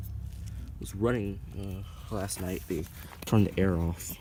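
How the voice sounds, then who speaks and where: A quiet man's very deep, low voice with audible room echo. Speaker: HVAC enthusiast vlogger. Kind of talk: casual video narration. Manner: quiet, early morning; halting, many fillers.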